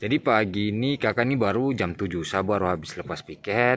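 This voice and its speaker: At a fairly quick pace, a man talks with a fairly low pitch and ordinary pitch variation in a dry sound with no echo. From Papua, Indonesia. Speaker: police officer. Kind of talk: casual vlog talk to camera. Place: open country. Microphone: phone near.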